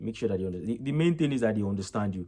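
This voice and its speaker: A man's dark, mellow voice in a Nigerian accent, with ordinary pitch variation. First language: Yoruba. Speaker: vlogger, international student. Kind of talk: casual vlog reflection.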